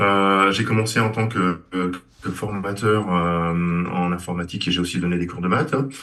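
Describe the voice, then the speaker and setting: The speech moves at a fairly slow pace with fairly even intonation. Room echo is audible. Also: man, very deep, low pitch for a man. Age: 60s. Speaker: engineer, former student. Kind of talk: interview. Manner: halting, many hesitations.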